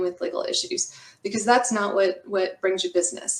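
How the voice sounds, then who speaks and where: Her intonation is fairly even. The woman speaks with an American accent. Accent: Texas accent, comes out when comfortable. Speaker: construction lawyer. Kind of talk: webinar presentation. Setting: video call from home office.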